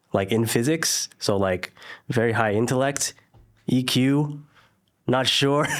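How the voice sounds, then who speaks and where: In a Californian accent, a man talks at a fairly slow pace with ordinary pitch variation. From Northern California (Silicon Valley). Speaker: entrepreneur, former lawyer. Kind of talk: interview conversation.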